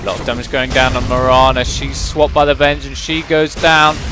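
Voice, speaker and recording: In a British accent, a man speaks at medium pitch and a moderate pace. Background noise is noticeable. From Britain. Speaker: esports caster. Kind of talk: live commentary.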